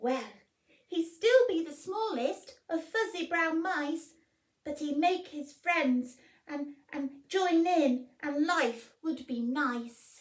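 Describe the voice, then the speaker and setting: A woman squeaks out a put-on character voice pitched high. She talks at a very slow pace. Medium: read story.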